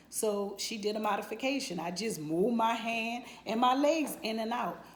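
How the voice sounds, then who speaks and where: At a moderate pace, a woman speaks with a medium pitch and ordinary pitch variation amid audible room echo. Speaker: nurse giving a client testimonial. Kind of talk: testimony. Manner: halting, many fillers.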